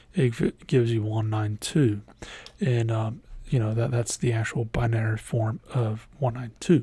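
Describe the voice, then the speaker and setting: His tone is dark and mellow. This man's voice is also somewhat breathy. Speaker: IT instructor. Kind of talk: tutorial. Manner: halting, many fillers.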